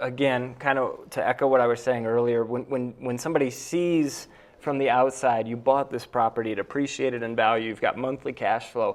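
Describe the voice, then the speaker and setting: A man with an unremarkable speaking voice talks at a medium pitch and a moderate pace. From upstate New York (near Cooperstown). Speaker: real estate investor and realtor. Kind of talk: round table discussion.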